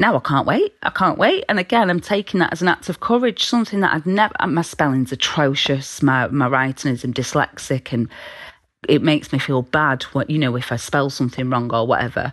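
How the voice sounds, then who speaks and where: A woman's very deep, low voice at a fairly quick pace with very wide pitch swings. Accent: British. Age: 30s. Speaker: peer support volunteer. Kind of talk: casual chat.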